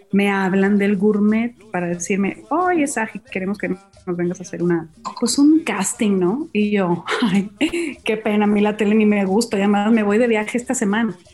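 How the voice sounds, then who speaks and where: At a moderate pace and with ordinary pitch variation, a woman speaks through noticeable background noise. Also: medium pitch for a woman. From Mazatlán, Sinaloa, Mexico. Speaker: chef. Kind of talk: casual chat. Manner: animated.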